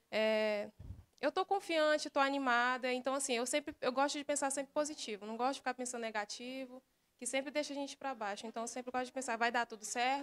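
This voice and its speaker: Against a quiet background, a woman with a high pitch speaks at a very fast pace. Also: ordinary pitch variation. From Sapucaia, Pará, Brazil; Pará, Brazil. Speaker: beauty pageant contestant; candidate. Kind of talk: interview. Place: studio. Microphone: handheld.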